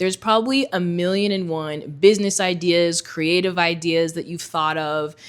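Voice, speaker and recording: A woman's plain, everyday voice, fairly low in pitch with ordinary pitch variation, at a fairly quick pace on a very clean recording with a silent background. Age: 30s. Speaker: senior communications manager. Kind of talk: casual talk to camera. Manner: candid, conversational.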